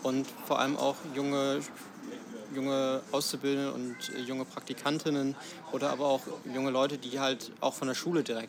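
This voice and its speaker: A man talks at a moderate pace and a medium pitch. Noticeable background noise runs underneath. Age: 20s. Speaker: system administrator and union youth representative. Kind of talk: interview. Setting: café. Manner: halting, many fillers.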